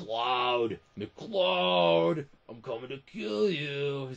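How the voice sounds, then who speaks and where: A man does a put-on character voice at a medium pitch. His pitch swings very widely. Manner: menacing.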